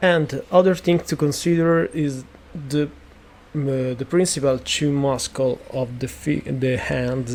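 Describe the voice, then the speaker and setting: The pace is very slow as a man speaks. His pitch is fairly high, and his intonation is fairly even. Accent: Italian. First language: Italian. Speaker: 3D sculpting artist. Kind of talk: tutorial. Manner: halting, many fillers.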